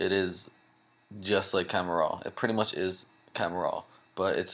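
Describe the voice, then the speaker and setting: With monotone, flat intonation, a man talks in a very deep, low voice. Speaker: software tutorial maker. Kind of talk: tutorial. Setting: home at night, others sleeping. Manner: soft-spoken, talking low; casual.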